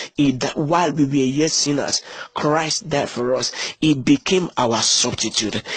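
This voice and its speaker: A man's fairly high, animated voice at a fairly slow pace, with ordinary pitch variation and noticeable background noise. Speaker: preacher. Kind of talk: sermon. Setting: church. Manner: animated, repetitive call-and-response preaching; emphatic, repeats key phrases for emphasis.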